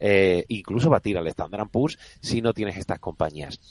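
The man speaks at a moderate pace. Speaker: fund manager. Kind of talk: radio interview.

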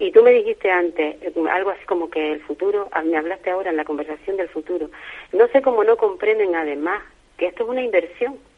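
A woman talks at a very fast pace. Her pitch has ordinary variation. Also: medium pitch for a woman. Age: 70s. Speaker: retired family advocate for early intervention. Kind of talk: radio interview.

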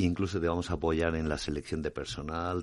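Over a quiet background, a man talks at a moderate pace in a very deep, low pitch. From Spain, Alicante. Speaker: franchise founder. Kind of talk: radio interview.

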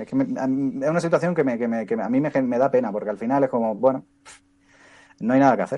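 A man is talking here. His tone comes across dark and mellow. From Spain, Andalusia (Motril, Granada). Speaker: sports commentator. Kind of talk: casual chat.

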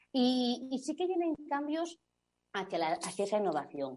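A woman with a dark, mellow tone speaks at a moderate pace. Her pitch swings very widely. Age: 40s. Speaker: advertising agency executive. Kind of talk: interview.

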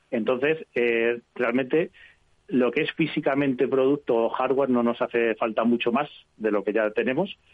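This is an ordinary speaking voice from a man at medium pitch. His pitch varies in an ordinary way. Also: moderate pace. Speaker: technology journalist. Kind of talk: radio interview. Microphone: connection dropped.

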